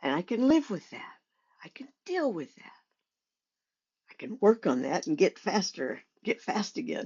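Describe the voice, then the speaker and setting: A woman speaks with vocal fry at a moderate pace, with long, frequent pauses, very wide pitch swings and big swings in loudness. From Oklahoma, US (born in Montana). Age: 70s. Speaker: podcaster recounting life story. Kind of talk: personal storytelling monologue. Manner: halting, with frequent repetitions and fillers.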